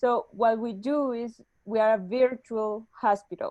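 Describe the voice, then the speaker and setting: A woman with a Spanish accent has a fairly high, dark and mellow voice, recorded with a dry, close sound and no echo. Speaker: startup executive. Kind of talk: webinar interview. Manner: halting.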